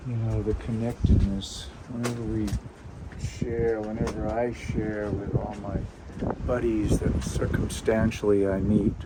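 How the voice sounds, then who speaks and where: A man speaks with an American accent at a fairly slow pace. Noticeable background noise is present. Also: fairly low pitch for a man. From Boston. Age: 70s. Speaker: whistler. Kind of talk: interview answer. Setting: lava tube cave.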